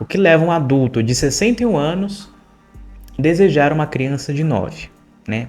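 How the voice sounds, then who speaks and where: With music in the background, a man talks in a fairly high pitch with lively intonation. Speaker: true crime psychology youtuber. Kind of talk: true crime commentary. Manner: slow.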